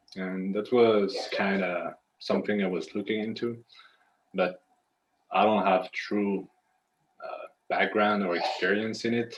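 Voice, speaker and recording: A man speaks with a French accent at a fairly slow pace. His pitch is fairly low, and his intonation stays monotone and flat. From France. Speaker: aspiring consultant, former pastry chef. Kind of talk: casual Q&A conversation.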